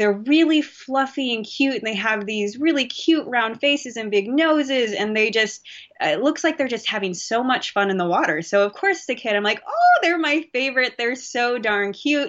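A woman with an American accent speaks at a moderate pace with hardly any pauses, her pitch high and her intonation lively. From US West Coast, Bay Area, California. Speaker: marine physiologist. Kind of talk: interview.

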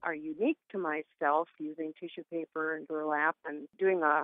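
The voice moves at a fairly slow pace with a monotone, flat intonation. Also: woman. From Duluth, Minnesota. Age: 60s. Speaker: radio interview guest, artist and shop owner.

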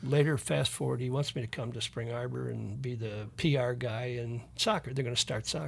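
A man speaks at a medium pitch, somewhat breathy. The recording is very clean with a silent background. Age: 80s+. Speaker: retired soccer coach. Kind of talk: casual interview chat.

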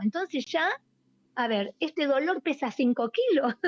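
A woman speaks with lively intonation. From Buenos Aires, Argentina. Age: 60s. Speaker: poet and writer. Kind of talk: radio interview, casual chat. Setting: remote call to radio show.

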